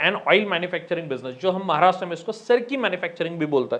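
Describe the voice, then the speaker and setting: Lively intonation marks this man's voice. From Maharashtra, India. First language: Marathi (speaking Hindi). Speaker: business consultant. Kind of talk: informal educational talk to camera. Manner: conversational, addresses viewers directly.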